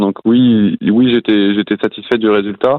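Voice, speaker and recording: A man speaks in a normal speaking voice at medium pitch. His intonation is fairly even. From western France, near Nantes. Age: 20s. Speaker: professional cyclist. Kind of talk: podcast interview.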